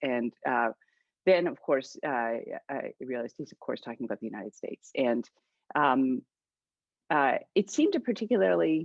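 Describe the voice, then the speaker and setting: Speaking at a moderate pace with long, frequent pauses, a woman has a slight Canadian accent. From Canada. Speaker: author and political scientist. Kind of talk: book discussion interview. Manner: halting, many fillers.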